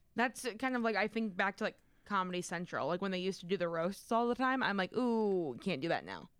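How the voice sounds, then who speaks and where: At a fairly quick pace, a woman speaks in an unremarkable speaking voice. She has a medium pitch and ordinary pitch variation. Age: 20s. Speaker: radio co-host. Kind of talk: casual chat.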